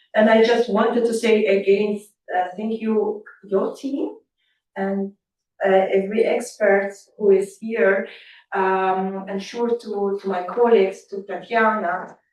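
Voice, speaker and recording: Speaking at a fairly slow pace with a non-native accent, a woman keeps her intonation monotone and flat. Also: medium pitch for a woman. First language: not English. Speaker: event co-host, foundation representative. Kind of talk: closing remarks. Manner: halting.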